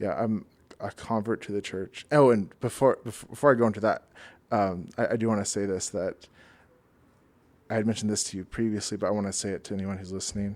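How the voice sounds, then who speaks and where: Very fast and in an American accent, a man talks in a very clean recording with a silent background. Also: fairly low pitch for a man, fairly even intonation. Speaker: church member sharing conversion story. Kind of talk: interview testimony. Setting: in-person at host's home. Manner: halting, repeated words.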